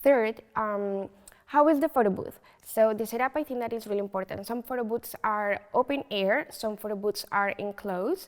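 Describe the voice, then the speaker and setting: A woman with a Colombian accent speaks at a moderate pace, her fairly high pitch moving with ordinary variation. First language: Spanish. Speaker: photo booth business owner. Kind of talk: interview. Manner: hesitant, many fillers.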